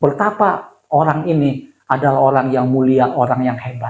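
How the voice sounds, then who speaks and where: The man's somewhat breathy voice sits fairly high in pitch, with fairly even intonation. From Indonesia, Bandung and Jakarta. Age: 60s. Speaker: pastor. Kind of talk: sermon. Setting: church. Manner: conversational, with fillers and self-corrections.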